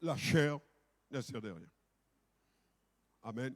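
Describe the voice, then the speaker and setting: A man at a very slow pace with ordinary pitch variation, in a dry, close sound with no echo. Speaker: pastor. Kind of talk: sermon. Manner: loud; authoritative.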